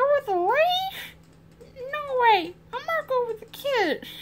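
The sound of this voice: In a put-on character voice, the speaker makes big pitch swings. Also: woman, extremely high pitch for a woman, fairly slow pace.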